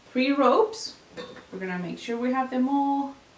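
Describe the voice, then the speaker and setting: In a room with audible echo, a woman with a non-native accent speaks at a high pitch. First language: not English. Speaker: craft tutorial maker; craft instructor. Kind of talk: tutorial. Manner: casual, hesitant with fillers. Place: home room.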